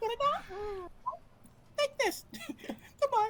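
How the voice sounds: At an extremely high pitch, someone performs a put-on character voice.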